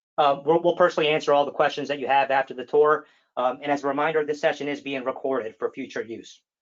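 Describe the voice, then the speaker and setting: The speech runs at a very fast pace. Its intonation stays fairly even. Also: man, fairly high pitch for a man. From United States. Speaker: software account manager. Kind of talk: webinar presentation. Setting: webinar. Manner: hesitant, many fillers.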